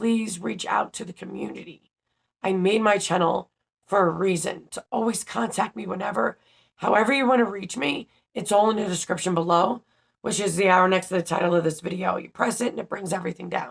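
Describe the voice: A woman puts on a raspy character voice at a medium pitch. She talks at a fairly quick pace.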